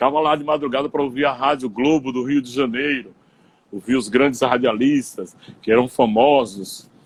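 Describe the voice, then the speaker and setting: A man's voice of medium pitch, an ordinary speaking voice, at a moderate pace with fairly even intonation. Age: 60s. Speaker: radio broadcaster. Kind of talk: interview on live stream. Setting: Instagram live video call.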